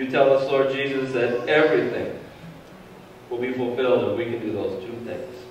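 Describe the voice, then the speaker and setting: A man at a fairly quick pace, amid light background noise and strong room echo. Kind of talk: public prayer. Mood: calm, reverent. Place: church.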